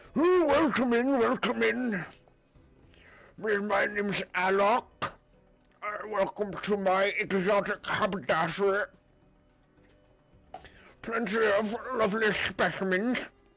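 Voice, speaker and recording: A put-on character voice bellows at a fairly high pitch with a croaky sound. The delivery is fairly slow, with long, frequent pauses. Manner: welcoming, theatrical.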